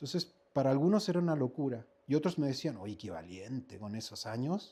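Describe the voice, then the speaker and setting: A man at a medium pitch with a dark, mellow tone, very wide pitch swings and a fairly quick pace, on a very clean recording with a silent background. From Chile, Viña del Mar. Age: 50s. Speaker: actor and acting teacher. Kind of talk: interview conversation.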